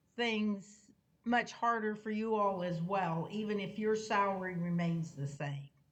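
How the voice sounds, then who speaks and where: A woman speaks at a fairly slow pace in a medium-pitched, somewhat breathy voice with ordinary pitch variation. Audible room echo surrounds her. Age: 70s. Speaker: police board commissioner. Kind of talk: public meeting discussion.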